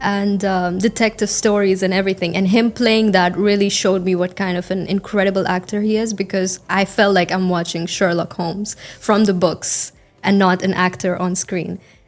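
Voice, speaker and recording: A woman's medium-pitched voice, flat and monotone. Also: moderate pace. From India. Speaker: IELTS test candidate. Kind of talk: interview answer. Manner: fluent.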